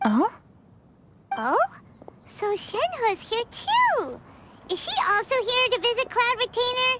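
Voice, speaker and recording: A woman's put-on character voice, squeaky and extremely high-pitched, at a fairly slow pace with long, frequent pauses. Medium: video game.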